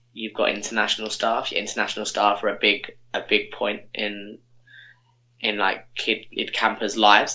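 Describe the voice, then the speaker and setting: A man with a southern English accent, fairly low pitch and a moderate pace. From Milton Keynes, England. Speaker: podcast guest, former camp counsellor. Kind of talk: casual chat.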